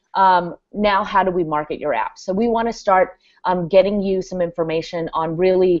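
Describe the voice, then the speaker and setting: A woman speaks with fairly even intonation. It is an ordinary speaking voice. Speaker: guest on developer team, presenting new hub. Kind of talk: live video hangout, product walkthrough. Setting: video call. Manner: many filler words (um, uh).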